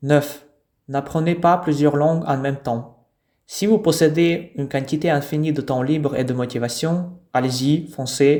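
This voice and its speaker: Speaking at a fairly slow pace, a man with a fairly high pitch has a dark, mellow tone and fairly even intonation. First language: not French; French learned as foreign language (speaking French). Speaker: language teacher. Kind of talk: tutorial.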